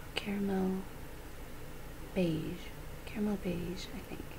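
Soft-spoken woman at a very slow pace, monotone and flat in intonation, with noticeable background noise. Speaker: beauty vlogger. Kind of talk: casual makeup review chat. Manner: soft-spoken, hushed ASMR talk. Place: home room. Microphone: webcam.

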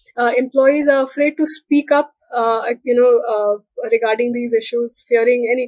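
A woman speaks with a high pitch and fairly even intonation. The background is quiet. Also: dry sound with no echo. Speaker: guest. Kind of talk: interview answer. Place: home room.

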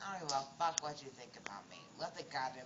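The speaker talks at a fairly quick pace over noticeable background noise. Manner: drunk, slurred, defiant. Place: street. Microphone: phone near.

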